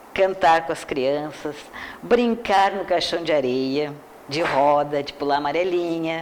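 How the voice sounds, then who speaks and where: A woman with a very deep, low pitch, speaking at a very slow pace, with ordinary pitch variation, big swings in loudness and noticeable background noise. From Brazil, Porto Alegre (Rio Grande do Sul). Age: 70s. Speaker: educator and teacher. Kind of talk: interview.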